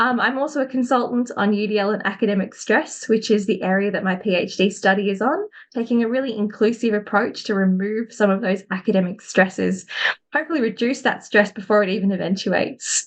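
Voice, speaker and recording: In an Australian accent, a woman speaks at a fairly high pitch and a fairly quick pace. Her pitch varies in an ordinary way. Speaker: academic and education consultant. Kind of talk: webinar presentation.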